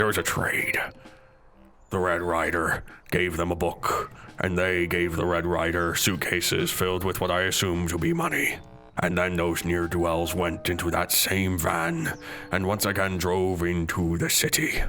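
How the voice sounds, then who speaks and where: A man uses a put-on character voice with a very deep, low pitch. He goes at a moderate pace over clear background noise. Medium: actual play. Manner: earnest, slightly awkward.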